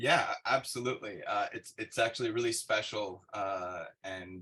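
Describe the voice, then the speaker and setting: A man with an LA accent, a bright, sharp tone, ordinary pitch variation and a moderate pace. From Los Angeles, California. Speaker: cannabis investor. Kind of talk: webinar interview. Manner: halting, many fillers.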